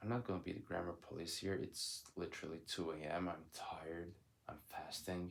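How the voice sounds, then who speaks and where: The speaker has a Turkish accent. The pace is moderate. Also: man. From Turkey. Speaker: vlogger. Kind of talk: casual monologue. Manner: loud.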